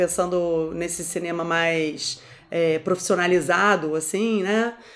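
The voice belongs to a woman. She uses ordinary pitch variation. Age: 40s. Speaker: documentary filmmaker; interviewee. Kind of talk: interview. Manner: halting.

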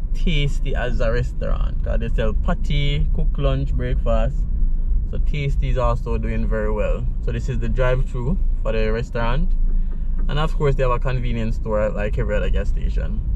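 Over noticeable background noise, a man keeps a moderate pace and very even loudness, with a dry sound and no echo. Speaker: channel host. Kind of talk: casual driving commentary. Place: car. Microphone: phone near.

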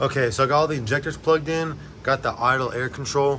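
Over light background noise, a man is speaking. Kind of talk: casual vlog tutorial. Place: garage. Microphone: phone near.

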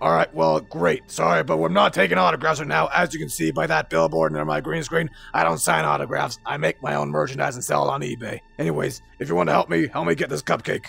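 A man's very deep, low voice with very wide pitch swings at a very fast pace, faint music in the background. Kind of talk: casual tough-guy roleplay acting. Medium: machinima. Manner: cocky, sarcastic, tough.

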